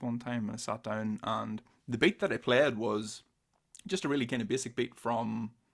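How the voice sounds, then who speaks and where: A man speaks in a Northern Irish accent at a medium pitch. His pace is fairly quick. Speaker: podcast host and drummer. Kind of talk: casual interview chat; solo video intro. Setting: outdoors for the intro. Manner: casual, some stammering repeats.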